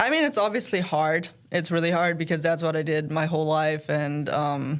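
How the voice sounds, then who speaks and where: A woman's fairly low, monotone voice with flat intonation, on a very clean recording with a silent background. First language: German and Serbian. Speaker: college tennis player. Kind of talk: casual interview.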